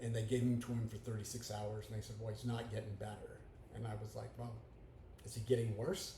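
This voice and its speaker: A man at medium pitch, monotone and flat in intonation, at a fairly quick pace, with audible room echo and noticeable background noise. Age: 60s. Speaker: podcaster, grieving widower. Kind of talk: personal monologue. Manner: hesitant with fillers.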